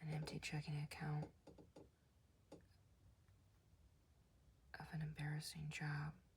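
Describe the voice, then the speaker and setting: The voice is soft-spoken, with a calm tone. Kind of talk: comic book reading. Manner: soft-spoken, calm.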